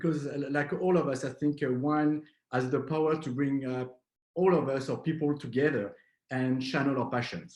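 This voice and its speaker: A man's fairly high voice in a French accent, at a moderate pace. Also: fairly even intonation. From southwest France. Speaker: wine importer. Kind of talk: online wine masterclass. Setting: video call. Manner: halting, many fillers.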